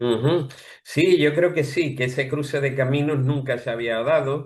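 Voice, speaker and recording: A man is speaking at a fairly slow pace. His voice sits fairly high. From Andalusia, Spain. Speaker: playwright. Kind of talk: interview.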